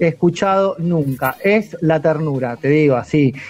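A man talks with ordinary pitch variation. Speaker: radio host. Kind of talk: radio interview. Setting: video call.

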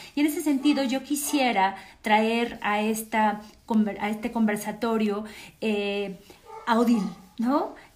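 A woman with a Mexican accent speaks at a very slow pace with long, frequent pauses, a fairly high pitch and ordinary pitch variation, with audible room echo and noticeable background noise. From Mexico. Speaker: cultural program host. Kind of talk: panel moderation. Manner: halting.

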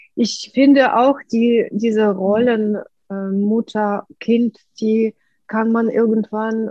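A woman speaks very slowly at a fairly high pitch. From Ukraine. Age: 50s. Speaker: artist and painting-method coach. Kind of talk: interview.

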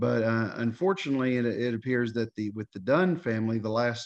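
A man with a Southern US accent, medium in pitch, moderate in pace, with ordinary pitch variation. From Tennessee, Knoxville. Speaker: history enthusiast. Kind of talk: interview.

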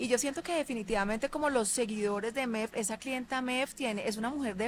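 This woman's voice sits fairly high and shows ordinary pitch variation. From Colombia, Cali. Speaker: fashion designer. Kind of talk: interview.

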